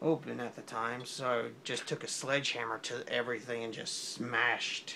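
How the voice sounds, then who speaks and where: Mumbling at a moderate pace, a man keeps a medium pitch and monotone, flat intonation. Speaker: drawing video creator. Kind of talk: casual drawing commentary. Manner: soft-spoken.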